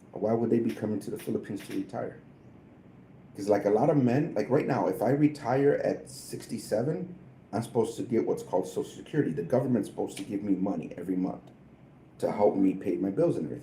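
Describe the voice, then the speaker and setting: A man with an American accent speaks at a very fast pace, his dark, mellow tone carrying vocal fry and lively intonation. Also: medium pitch for a man. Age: 50s. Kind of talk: casual chat.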